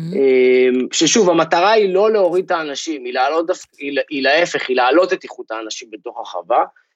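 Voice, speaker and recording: Lively intonation marks this man's ordinary speaking voice, which is fairly high in pitch and moves at a moderate pace. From Israel. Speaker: agtech startup founder. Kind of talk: interview.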